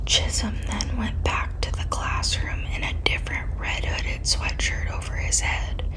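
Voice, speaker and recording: Whispered words come at a fairly slow pace, with noticeable background noise behind them. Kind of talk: ASMR true crime narration.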